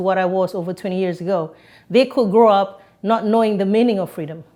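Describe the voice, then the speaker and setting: Ordinary pitch variation marks this voice with a slight Singaporean accent, heard in a very clean recording with a silent background. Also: woman. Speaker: podcast guest. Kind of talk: interview.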